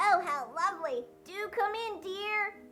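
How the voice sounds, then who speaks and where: Putting on a character voice that is croaky, cackling and squeaky, a woman speaks at an extremely high pitch and a fairly slow pace over clear background noise. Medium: read story.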